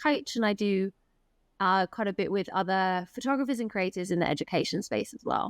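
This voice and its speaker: A woman with an English accent speaks at a medium pitch with ordinary pitch variation. The recording is very clean, with a silent background and a dry, close sound with no echo. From England. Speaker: elopement photographer. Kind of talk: casual interview.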